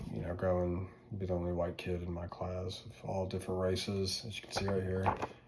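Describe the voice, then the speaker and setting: A man with a Southern US accent speaks at a fairly quick pace, his very deep, low voice monotone and flat. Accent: Southern accent, noticeable. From US South, North Louisiana. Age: 20s. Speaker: student. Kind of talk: casual class presentation video. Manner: informal, filler-heavy.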